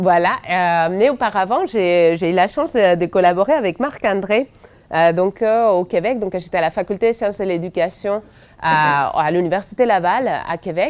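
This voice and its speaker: A woman in a Spanish accent speaks at medium pitch and a moderate pace with ordinary pitch variation. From Spain. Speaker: education researcher. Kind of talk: seminar talk. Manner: hesitant, many fillers.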